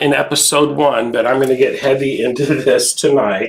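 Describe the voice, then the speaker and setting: A man's medium-pitched voice at a moderate pace, with noticeable background noise. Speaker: quilting instructor. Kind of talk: live tutorial. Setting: home studio live stream. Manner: casual, chatty.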